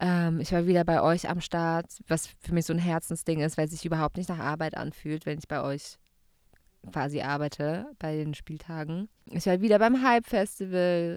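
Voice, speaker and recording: A woman with a normal speaking voice talks at a moderate pace and a fairly low pitch, with ordinary pitch variation, on a very clean recording with a silent background. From Baden-Württemberg, Gaggenau. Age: 30s. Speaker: radio host. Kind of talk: casual chat.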